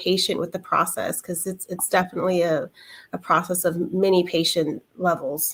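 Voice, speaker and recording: A woman with a normal speaking voice talks at a fairly quick pace. Her pitch is medium and her intonation fairly even. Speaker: massage therapist. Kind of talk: panel discussion.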